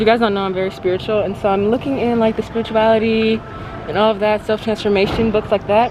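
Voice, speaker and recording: Over noticeable background noise, a woman talks at a very fast pace in a fairly high pitch with monotone, flat intonation. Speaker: lifestyle vlogger. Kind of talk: casual vlog chat. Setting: bookstore.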